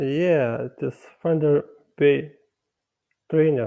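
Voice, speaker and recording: The speaker is a man with a fairly high-pitched voice. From Lithuania. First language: Lithuanian. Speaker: meat-eating debater. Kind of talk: debate. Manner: halting, stuttering.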